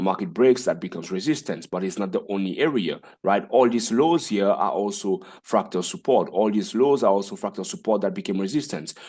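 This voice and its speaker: A man's fairly low voice in a dark, mellow tone, fairly quick with lively intonation, over a quiet background. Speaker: forex trading educator. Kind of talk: tutorial. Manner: fast.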